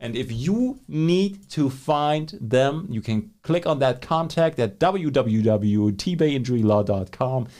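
Speaking very slowly yet with hardly any pauses, a man uses a medium pitch, lively intonation and a dark, mellow tone. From Germany. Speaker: podcast host. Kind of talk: casual chat. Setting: studio. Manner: excitable.

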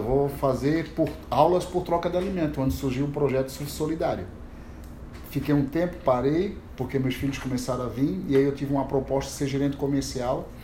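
Amid audible room echo, a man talks at a fairly quick pace with fairly even intonation. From Santa Catarina, Brazil (Itajaí). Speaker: surf teacher running a social surf project. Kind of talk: casual chat.

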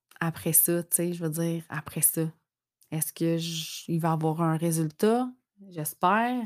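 A woman talks at a very slow pace in a Quebec accent. Her loudness swings widely while her pitch varies in an ordinary way. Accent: Québécois French. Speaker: podcaster mom. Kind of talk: personal reflection monologue. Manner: hesitant, many fillers.

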